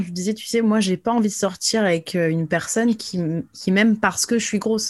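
An ordinary speaking voice with fairly even intonation over a quiet background. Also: woman. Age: 30s. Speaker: influencer and emotional release coach. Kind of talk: interview.

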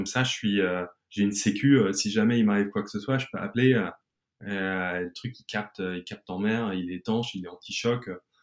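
A man with a fairly low pitch talks at a moderate pace and with fairly even intonation, captured on a very clean recording with a silent background. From mixed: England, Germany, then France. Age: 40s. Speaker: entrepreneur. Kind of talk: interview. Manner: halting, many repetitions.

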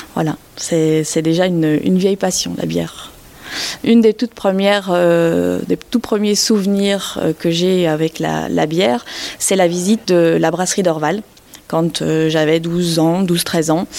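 A woman's fairly low voice, a normal speaking voice, with ordinary pitch variation at a fairly slow pace. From Belgium. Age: 30s. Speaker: craft brewer. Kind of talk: interview.

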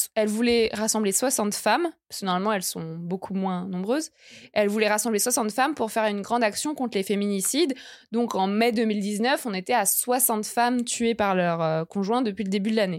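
A woman with an unremarkable speaking voice and fairly high pitch talks at a moderate pace. Her pitch variation is ordinary, and the recording is very clean with a silent background. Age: 20s. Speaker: journalist and feminist activist. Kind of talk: casual interview.

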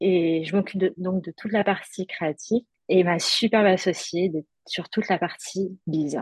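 A woman speaks at a fairly slow pace in a medium pitch, somewhat breathy, with ordinary pitch variation and a dry, close sound with no echo. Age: 30s. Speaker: art director, stroke survivor. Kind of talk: testimony. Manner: halting.

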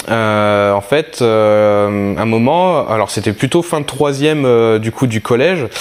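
A very slow male voice at medium pitch with ordinary pitch variation. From southeastern France. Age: 30s. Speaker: airsoft sniper and youtuber. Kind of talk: casual interview chat. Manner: hesitant, many fillers.

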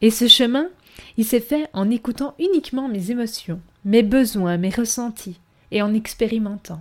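A woman speaks at a fairly slow pace in a fairly high voice with ordinary pitch variation, recorded very cleanly against a silent background. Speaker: podcast host and wellness coach. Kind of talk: monologue podcast intro.

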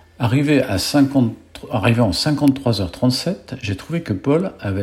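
A man's somewhat breathy voice at medium pitch, with lively intonation. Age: 70s. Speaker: podcast host, cyclist. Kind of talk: scripted intro; casual chat.

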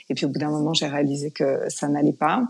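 This voice belongs to a woman. Her pitch is very deep and low. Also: quiet background. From France. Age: 40s. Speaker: yoga teacher. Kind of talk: interview conversation; guided breathing exercise.

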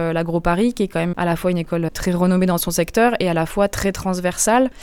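A woman with an unremarkable speaking voice talks at a fairly quick pace. Her pitch is fairly low, with ordinary pitch variation. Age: 30s. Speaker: environmental consulting engineer. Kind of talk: interview. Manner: lively.

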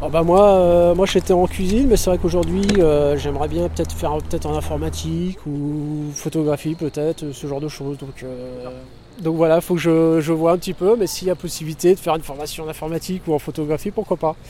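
A man's fairly high-pitched voice at a fairly quick pace, with fairly even intonation over noticeable background noise. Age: 30s. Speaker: unemployed resident. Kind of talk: interview. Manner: halting.

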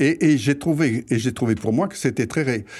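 In a very clean recording with a silent background, a man talks in a somewhat breathy voice. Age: 80s+. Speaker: retiree, host's grandfather. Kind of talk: interview.

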